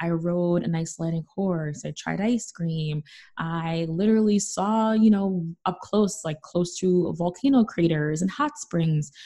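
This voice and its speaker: With an American accent, a woman speaks at a fairly slow pace in a fairly low, somewhat breathy voice, her tone dark and mellow and her pitch variation ordinary. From New York City, the Bronx. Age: 20s. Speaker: travel finance author and podcaster. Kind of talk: casual interview.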